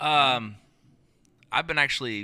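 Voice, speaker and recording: Bright and sharp in tone, a man with an American accent speaks at a very slow pace with lively intonation on a very clean recording with a silent background. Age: 30s. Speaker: musician. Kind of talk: casual chat.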